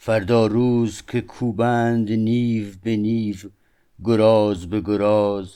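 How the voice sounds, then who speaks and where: In a dark, mellow tone, a man speaks at a very slow pace with a fairly low pitch and monotone, flat intonation. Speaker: audiobook narrator. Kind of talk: reading aloud. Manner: formal.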